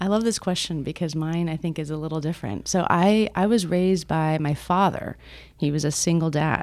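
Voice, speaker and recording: In an American accent, this unremarkable speaking voice moves at a fairly quick pace with ordinary pitch variation. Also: woman, fairly low pitch for a woman. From Miami, Florida. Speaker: nonprofit executive director. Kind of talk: interview. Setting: office.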